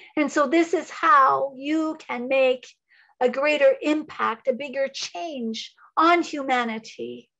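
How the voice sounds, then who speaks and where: With a quiet background, a woman speaks at a very slow pace in a high pitch and a bright, sharp tone with ordinary pitch variation. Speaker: psychic medium and Reiki teacher; Reiki teacher. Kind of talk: channeled spiritual talk. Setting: video call. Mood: calm, inspirational. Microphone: video call.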